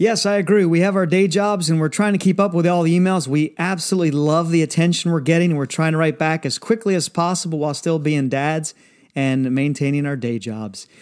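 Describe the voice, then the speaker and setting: With an unremarkable speaking voice, a man talks fairly quickly and fairly high, with ordinary pitch variation and hardly any pauses. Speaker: podcast co-host, former pilot. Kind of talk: casual chat.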